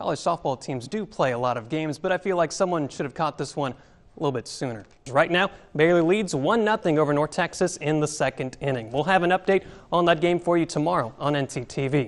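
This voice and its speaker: In a plain, everyday voice with an American accent, a man talks at a fairly quick pace and fairly high pitch, with ordinary pitch variation against a quiet background. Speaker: sports reporter and anchor. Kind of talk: TV sports anchor newscast read.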